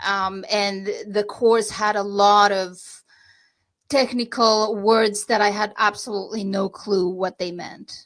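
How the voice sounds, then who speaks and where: In a Romanian accent, a woman speaks at a very slow pace. Her intonation is monotone and flat. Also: medium pitch for a woman. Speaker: real estate agent. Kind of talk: podcast interview. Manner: halting.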